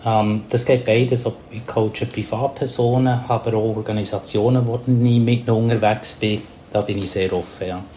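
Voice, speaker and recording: A man speaks at a moderate pace with a medium pitch. His intonation is monotone and flat, with noticeable background noise behind him. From Papua New Guinea. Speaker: communication coach and mediator. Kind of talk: interview. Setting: remote call.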